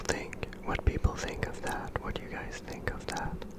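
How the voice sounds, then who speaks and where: Noticeable background noise accompanies whispering at a moderate pace. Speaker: ASMR creator. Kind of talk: ASMR sleep rambling. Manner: whispered, soft-spoken.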